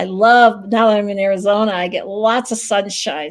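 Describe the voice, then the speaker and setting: A woman in an American accent speaks at a moderate pace and medium pitch, with ordinary pitch variation. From US Midwest, Dubuque, Iowa. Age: 60s. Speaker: massage therapist and psychic medium. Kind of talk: interview. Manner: casual, hesitant with fillers.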